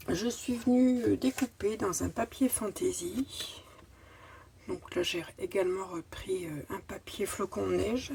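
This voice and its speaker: With vocal fry and very wide pitch swings, a woman talks at a fairly high pitch and a very slow pace. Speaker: crafting youtuber. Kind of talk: tutorial. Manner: halting.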